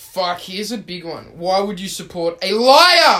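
The man keeps a moderate pace. He has an Australian accent. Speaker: podcast host. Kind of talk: casual chat.

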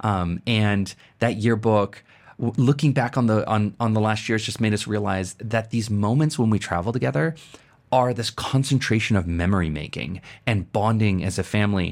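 This is a very clean recording with a silent background. A man speaks at a moderate pace with a fairly low pitch and ordinary pitch variation. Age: 40s. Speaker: podcast host and productivity coach. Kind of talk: casual chat. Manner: animated.

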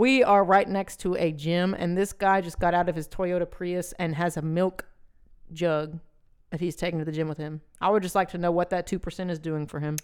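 Using a plain, everyday voice, a woman speaks at a fairly quick pace in a fairly low pitch with fairly even intonation. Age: 20s. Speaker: podcast co-host. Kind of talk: casual banter.

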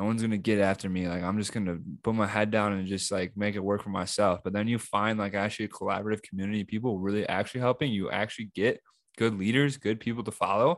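In a quiet background, a man with a fairly low pitch speaks at a very fast pace with fairly even intonation. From US Midwest. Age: 20s. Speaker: podcast co-host. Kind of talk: casual chat.

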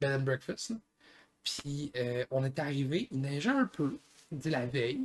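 A man with a fairly high, somewhat breathy voice talks at a very slow pace, with ordinary pitch variation and long, frequent pauses. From Gaspésie, Quebec. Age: 20s. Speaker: podcast co-host, skier. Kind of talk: casual chat.

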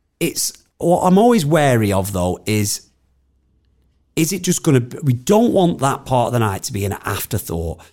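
Using a northern English accent, a man with a dark, mellow tone speaks at a moderate pace and medium pitch, with very wide pitch swings and long, frequent pauses. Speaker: musician. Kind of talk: casual interview chat.

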